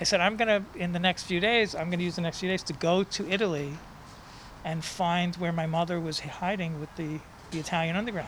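A man with a New York accent speaks at a high pitch. He moves at a fairly quick pace, and his intonation stays fairly even. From New York City (Manhattan, Bronx). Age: 60s. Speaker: poet and author. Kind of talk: interview storytelling.

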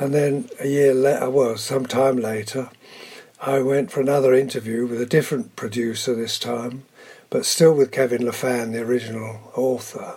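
Moderately paced speech from a man, with fairly even intonation. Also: medium pitch for a man. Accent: southern English. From southern England. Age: 80s+. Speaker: veteran soap actor. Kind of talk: interview.

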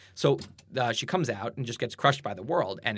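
Somewhat breathy male voice with an American accent, medium pitch, lively intonation and a fairly quick pace. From US Northeast, Boston suburbs. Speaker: blogger and writer. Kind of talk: casual interview conversation. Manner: halting, many fillers and repetitions.

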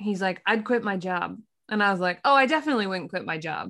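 On a very clean recording with a silent background, a woman with an American accent and an ordinary speaking voice talks at a fairly quick pace with lively intonation. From Pennsylvania. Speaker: architect and podcast host. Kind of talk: casual chat.

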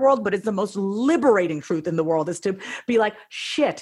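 At a moderate pace, a woman with an American accent speaks with very wide pitch swings. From US, small town, Indian family. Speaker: therapist and coach. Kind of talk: interview.

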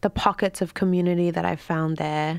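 A woman's fairly low voice with an Australian accent. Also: very clean recording, silent background. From Australia, Queensland. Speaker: writer and artist. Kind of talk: interview.

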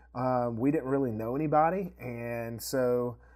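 Speaking with ordinary pitch variation, a man comes through on a very clean recording with a silent background. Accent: East Tennessee. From East Tennessee, US. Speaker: video production company co-owner. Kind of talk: casual interview chat.

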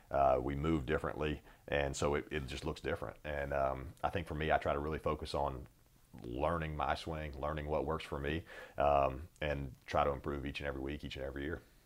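A man with an American accent speaks at a very deep, low pitch with vocal fry. His delivery is monotone and flat at a fairly quick pace. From North Carolina, US South. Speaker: football placekicker. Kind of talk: interview.

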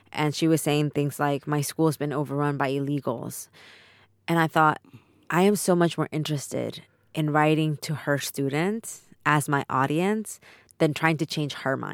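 In a Spanish accent, a woman with a very deep, low pitch speaks at a moderate pace with fairly even intonation, on a very clean, dry, close recording with a silent background and no echo. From Mexico, then Texas from age 11. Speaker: author and immigrant rights advocate. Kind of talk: reading aloud; interview.

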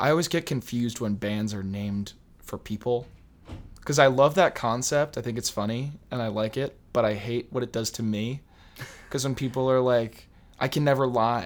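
Using an unremarkable speaking voice, a man speaks at a medium pitch and a moderate pace. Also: ordinary pitch variation. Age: young. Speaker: podcast guest. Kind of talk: casual chat.

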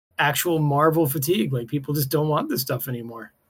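The man's voice is pitched fairly high. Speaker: podcast co-host. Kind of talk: casual banter. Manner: animated, joking.

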